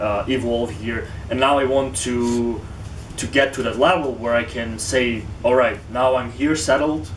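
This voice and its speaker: A man with a Ukrainian accent speaks at a medium pitch with ordinary pitch variation. Noticeable background noise is present. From Western Ukraine. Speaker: tech company founder and university student. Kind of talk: interview answer.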